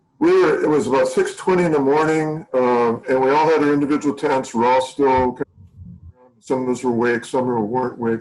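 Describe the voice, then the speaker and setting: With an ordinary speaking voice and an American accent, a man talks at a medium pitch and a fairly quick pace, his intonation fairly even and his loudness very even. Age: 60s. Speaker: mountaineer, Everest climber and documentary subject. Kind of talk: interview answer.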